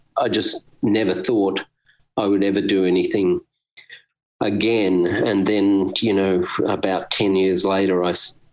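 In an Australian accent, a man with a fairly low pitch speaks in a monotone, flat intonation at very even loudness. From Australia, Brisbane. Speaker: musician. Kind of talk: interview. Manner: hesitant, many fillers.

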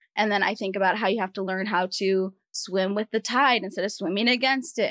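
Speaking at a fairly quick pace, a woman with an American accent has a medium pitch and ordinary pitch variation. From US Northeast, Rhode Island. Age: 20s. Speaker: physician assistant. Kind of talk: casual interview. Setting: studio.

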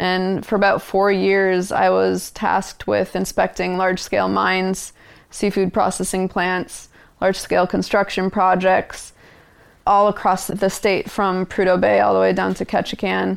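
A woman with an American accent speaks at a moderate pace, her loudness very even. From Minnesota, US Midwest. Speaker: environmental campaign director. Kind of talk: interview conversation. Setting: in-person recording.

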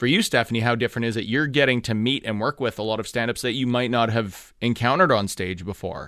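A medium-pitched man with an animated, bright, sharp tone at a very fast pace, with hardly any pauses and ordinary pitch variation, in a very clean recording with a silent background. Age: 30s. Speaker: radio host. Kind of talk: casual radio chat. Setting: studio. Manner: animated, jokey.

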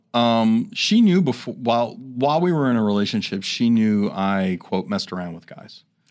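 Using a normal speaking voice, a man talks at a moderate pace and medium pitch with big swings in loudness and hardly any pauses. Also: quiet background. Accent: American. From New York City area. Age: 50s. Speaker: nurse and radio co-host. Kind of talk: interview. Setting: studio.

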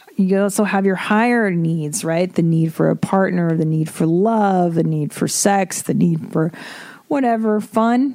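A woman with a medium pitch and a dark, mellow tone speaks at a fairly slow pace, with ordinary pitch variation and few pauses.

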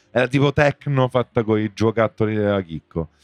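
A man with an ordinary speaking voice and a medium pitch talks at a moderate pace. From Rome. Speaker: musician. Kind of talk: casual chat.

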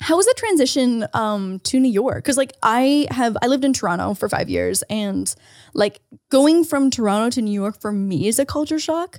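Lively intonation marks a woman's normal speaking voice, heard at a moderate pace in a dry, close sound with no echo. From Canada. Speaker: podcast co-host. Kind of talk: casual chat.

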